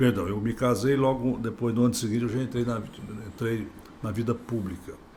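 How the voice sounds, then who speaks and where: A man speaks at a fairly quick pace with medium pitch and fairly even intonation. Room echo is audible. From Brazil, Goiás/Tocantins. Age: 60s. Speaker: politician, former state governor. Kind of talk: podcast interview.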